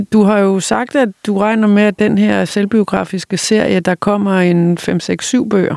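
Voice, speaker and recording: A woman speaks at medium pitch in an unremarkable speaking voice, with a dry, close sound and no echo. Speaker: podcast host interviewing authors. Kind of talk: interview.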